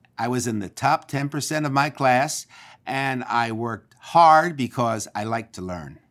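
An unremarkable speaking voice from a man with an American accent, medium in pitch with ordinary pitch variation, at a moderate pace on a very clean recording with a silent background. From Philadelphia, Pennsylvania. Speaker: school board member. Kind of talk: interview.

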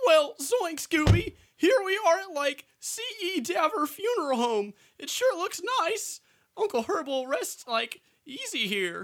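In a drawling, cartoonish character voice, the speaker goes at a fairly slow pace with an extremely high pitch and very wide pitch swings. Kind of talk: comic parody of a cartoon mystery sidekick. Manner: slacker drawl, filler word 'like', relaxed and goofy.

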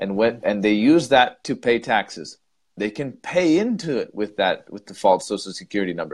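Loudness swings widely in this man's voice. At a medium pitch and moderate pace, his pitch also swings very widely. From United States. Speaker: English teacher and podcast co-host. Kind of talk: casual debate chat.

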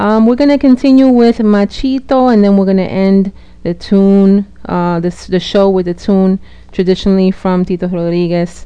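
A woman speaks fairly slowly in a normal speaking voice. Her pitch is medium, with ordinary variation. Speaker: radio host. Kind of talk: radio DJ patter. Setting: radio show broadcast. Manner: warm, welcoming, bilingual English-Spanish.

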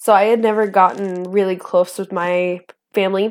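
Flat, monotone intonation marks this woman's medium-pitched speech in an American accent. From northern Idaho, US. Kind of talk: testimony. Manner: laughs often.

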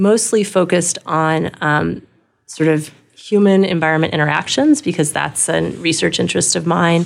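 At a moderate pace, a woman speaks with an unremarkable speaking voice that sits fairly low in pitch. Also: ordinary pitch variation. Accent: American. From Southern California, Los Angeles. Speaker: anthropology professor, institute director. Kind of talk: interview.

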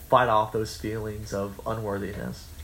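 This man speaks at a fairly slow pace with a somewhat breathy voice at a medium pitch. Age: 20s. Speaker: college radio podcast host. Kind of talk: casual chat.

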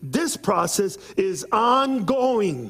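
Noticeable noise sits in the background. Over it, a man talks in an animated tone. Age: 50s. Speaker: visiting preacher. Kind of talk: sermon. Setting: church.

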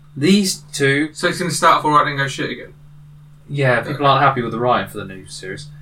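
With a British accent, a man talks at a very fast pace in a fairly high pitch, with ordinary pitch variation, big swings in loudness, and noticeable background noise. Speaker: co-host. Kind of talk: casual chat.

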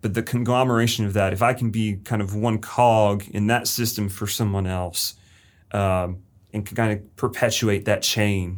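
A man's fairly low voice at a moderate pace, monotone and flat, on a very clean recording with a silent background. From Florida, Lakeland. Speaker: high school English teacher. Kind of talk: interview.

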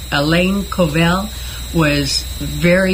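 Noticeable background noise accompanies a woman speaking with an American accent. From Northern California. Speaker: retired teacher. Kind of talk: radio interview. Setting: studio.

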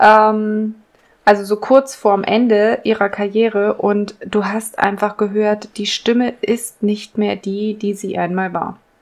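Monotone, flat intonation marks speech that unfolds at a very slow pace. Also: woman, fairly high pitch for a woman. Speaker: podcast co-host. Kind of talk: casual chat.

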